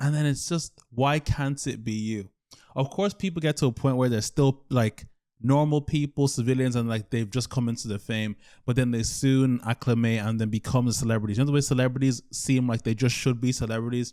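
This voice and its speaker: In a very clean recording with a silent background, a man speaks at a fairly quick pace with a dark, mellow tone. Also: medium pitch for a man, fairly even intonation. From Ireland. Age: 20s. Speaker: YouTuber. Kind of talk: casual monologue. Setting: alone at home, recording. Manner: rambling, hesitant.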